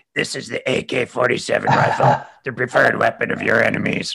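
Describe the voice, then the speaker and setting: A man does a put-on character voice. It sounds raspy and moves at a moderate pace. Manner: gruff, commanding.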